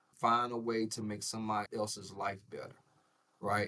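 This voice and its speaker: A man's fairly low voice in a Southern US accent, with fairly even intonation and a moderate pace. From US South, Jackson, Mississippi. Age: 40s. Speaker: insurance broker, entrepreneur. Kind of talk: podcast interview. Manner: casual, repetitive fillers.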